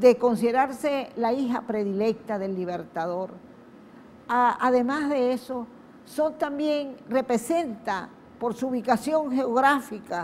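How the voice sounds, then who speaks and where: A woman's high-pitched voice at a very slow pace. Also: ordinary pitch variation. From western Venezuela, Wayuu people. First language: Wayuu (speaking Spanish). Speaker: TV host. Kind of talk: TV program introduction.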